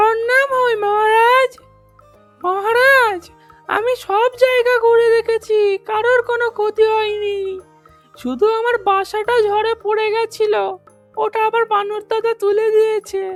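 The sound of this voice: A female-sounding, cartoonish character voice with an extremely high pitch moves at a fairly slow pace over faint music in the background.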